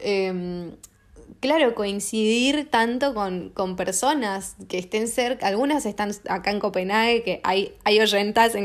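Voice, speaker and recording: A woman at a fairly slow pace, medium pitch, ordinary pitch variation, on a very clean recording with a silent background. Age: 30s. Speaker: podcast host. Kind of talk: casual monologue. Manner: halting, many fillers. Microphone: not using new mic.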